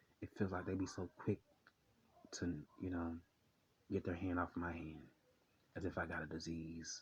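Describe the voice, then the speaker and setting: A man speaks in a very deep, low, somewhat breathy voice with monotone, flat intonation. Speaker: vlogger. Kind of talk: personal vlog monologue. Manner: fast; halting, many repetitions.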